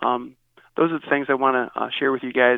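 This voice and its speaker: Speaking fairly quickly in a Midwestern American accent, a man keeps a flat, monotone intonation. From US Midwest, Northeast Ohio. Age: 50s. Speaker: pastor. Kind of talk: interview. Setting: phone call.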